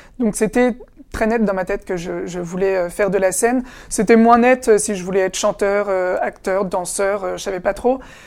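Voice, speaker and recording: Keeping a moderate pace, a woman's medium-pitched voice holds fairly even intonation. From France, Essonne (Paris suburbs). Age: 20s. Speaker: actor. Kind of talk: interview. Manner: halting, with repetitions.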